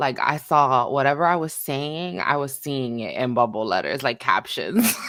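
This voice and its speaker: Speaking fairly slowly, a woman with a very deep, low voice uses lively intonation against noticeable background noise. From New York, Washington Heights and Bronx, later New Jersey. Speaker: podcast guest. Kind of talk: casual chat.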